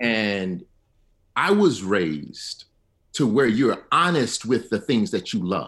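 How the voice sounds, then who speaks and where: In an Alabama accent, a man speaks at a very slow pace with vocal fry and very wide pitch swings over a quiet background. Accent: Alabama Southern US. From Selma, Alabama. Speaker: history professor. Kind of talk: radio panel discussion.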